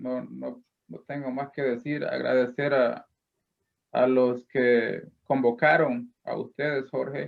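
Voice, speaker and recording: Male voice of medium pitch, its intonation fairly even. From El Salvador. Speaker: poet, contest winner. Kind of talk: acceptance remarks on a broadcast. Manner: halting, repeats words.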